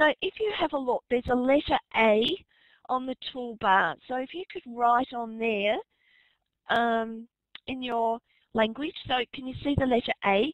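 Over a quiet background in a dry sound with no echo, a woman with an Australian accent speaks fairly slowly at a high pitch with ordinary pitch variation and long, frequent pauses. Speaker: teacher and webinar moderator. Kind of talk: webinar moderation. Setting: online webinar. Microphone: video call.

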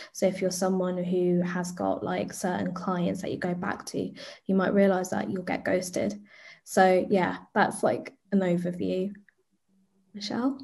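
In a London accent, a woman speaks at a fairly slow pace with vocal fry and fairly even intonation. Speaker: arts and youth engagement producer; guest. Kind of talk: panel discussion. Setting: video call. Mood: warm, friendly. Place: home room. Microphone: webcam.

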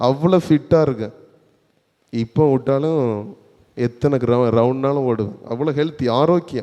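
A man's voice sits at a medium pitch with ordinary pitch variation. His tone is dark and mellow. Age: 30s. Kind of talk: sermon.

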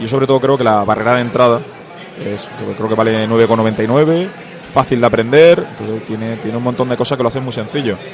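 Over noticeable background noise, a man with a medium pitch speaks at a fairly quick pace and with fairly even intonation. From Spain, Seville (Andalusia). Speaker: board game company marketing manager. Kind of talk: interview. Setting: convention floor.

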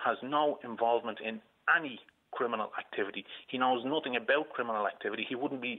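A man in a Dublin accent speaks at a fairly quick pace. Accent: Dublin Irish. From Ireland. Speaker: caller, uncle of a shooting victim. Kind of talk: radio phone-in. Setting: phone call from hospital. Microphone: phone line.

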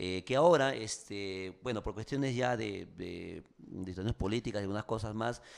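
With a quiet background, a man's speech moves at a moderate pace, its pitch varying in an ordinary way. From Peru. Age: 40s. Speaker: radio host and actor; radio host, actor. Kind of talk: casual interview.

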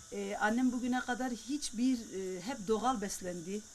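A woman speaks at a fairly high pitch with lively intonation. It is an unremarkable speaking voice. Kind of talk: interview answer.

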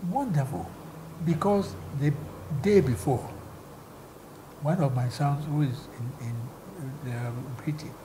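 Against noticeable background noise, a man with a fairly high pitch and a somewhat breathy voice talks at a moderate pace. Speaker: former broadcast commentator. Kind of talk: interview answer. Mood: cheerful, animated storytelling. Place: home room. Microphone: lapel.

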